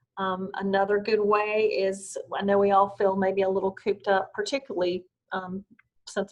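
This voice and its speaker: A woman with a strong Southern US accent talks at a moderate pace in a calm tone, her pitch medium. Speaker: wellness instructor. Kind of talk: guided meditation. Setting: video call.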